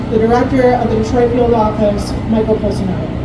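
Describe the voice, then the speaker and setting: A woman's fairly quick speech comes with audible room echo and noticeable background noise. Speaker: city housing official. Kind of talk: public speech. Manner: soft-spoken.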